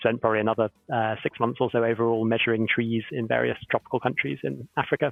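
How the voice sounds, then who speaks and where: Someone with a southern English accent talks at a very fast pace with hardly any pauses and ordinary pitch variation. Music plays in the background. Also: man, medium pitch for a man. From southern England, Oxford. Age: 30s. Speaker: professor and company co-founder. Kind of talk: panel Q&A on live stream.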